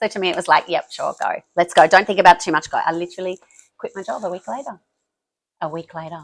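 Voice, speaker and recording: Speaking very fast at a medium pitch, a woman with an Australian accent shows ordinary pitch variation and big swings in loudness, her sound dry and close with no echo on a very clean recording with a silent background. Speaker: business founder. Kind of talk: interview. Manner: excitable, pitch rises.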